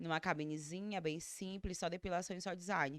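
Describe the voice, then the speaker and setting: Fairly quick and animated, a woman talks with a fairly low pitch and ordinary pitch variation. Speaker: beauty professional, eyebrow designer and micropigmentation artist. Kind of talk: casual personal storytelling. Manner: fast.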